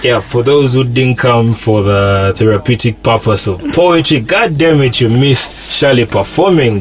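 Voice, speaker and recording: Against noticeable background noise, a man speaks at a moderate pace and medium pitch with ordinary pitch variation, very even loudness and hardly any pauses. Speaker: podcast host. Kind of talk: casual chat.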